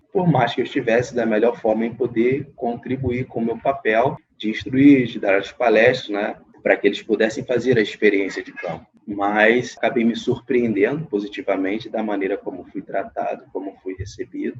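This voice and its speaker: A man with an ordinary speaking voice, medium pitch, fairly even intonation and moderate pace. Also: big swings in loudness. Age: 30s. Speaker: psychologist. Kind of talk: interview.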